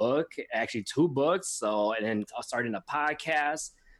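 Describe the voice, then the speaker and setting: With a normal speaking voice, a man talks at a moderate pace with ordinary pitch variation in a very clean recording with a silent background. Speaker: podcast host and author. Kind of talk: casual interview.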